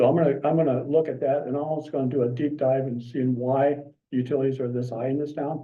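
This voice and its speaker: A man's voice of medium pitch with fairly even intonation. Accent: southern Nebraska. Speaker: member of the public at a city council meeting. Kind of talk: public comment. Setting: city commission meeting. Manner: halting, many fillers.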